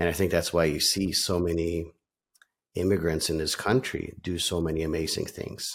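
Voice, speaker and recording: A man speaks at a moderate pace in a very deep, low voice with monotone, flat intonation, recorded very cleanly against a silent background. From Norway, then Calgary Canada. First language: Norwegian. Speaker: real estate team leader. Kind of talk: casual interview conversation. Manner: filler-heavy, conversational.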